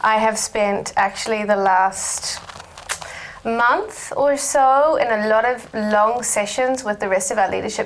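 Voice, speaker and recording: With a New Zealand accent, a woman talks at a medium pitch with fairly even intonation over noticeable background noise. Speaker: research director. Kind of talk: panel discussion.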